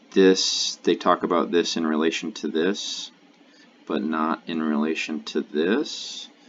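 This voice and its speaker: Noticeable background noise runs through the clip. Over it, a man is talking. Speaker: LSAT tutor. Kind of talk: tutorial. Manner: halting; mumbling.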